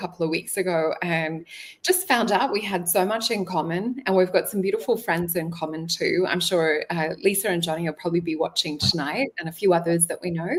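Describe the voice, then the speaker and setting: The speaker has an Australian accent and ordinary pitch variation. The pace is fairly quick with hardly any pauses. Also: woman. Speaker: spiritual show host, psychic reader. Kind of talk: interview.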